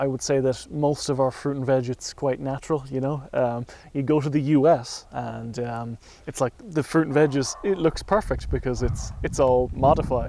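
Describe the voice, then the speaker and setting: This man talks at a moderate pace with a western Irish accent, his medium-pitched voice dark and mellow in tone. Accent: Irish (west of Ireland). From Ireland, County Mayo. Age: 20s. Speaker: interviewee. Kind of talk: casual interview. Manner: animated, varied pitch.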